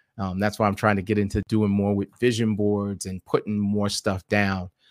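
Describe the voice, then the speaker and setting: Man in an American accent at a fairly low pitch in a very clean recording with a silent background. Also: dry, close sound with no echo. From New York City (South Jamaica, Queens). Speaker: podcaster and blogger. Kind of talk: casual interview.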